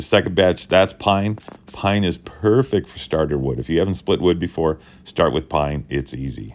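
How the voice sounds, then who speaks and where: Against a silent background in a very clean recording, a man with a very deep, low voice and vocal fry speaks at a moderate pace with lively intonation. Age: 60s. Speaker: YouTuber. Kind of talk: tutorial. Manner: casual.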